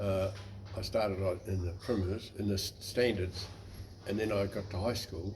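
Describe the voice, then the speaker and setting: With a New Zealand accent, the speaker talks at a moderate pace in a monotone, flat intonation, with audible room echo and noticeable background noise. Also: man, fairly low pitch for a man. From New Zealand, West Coast. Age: 80s+. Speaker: navy veteran. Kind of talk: interview.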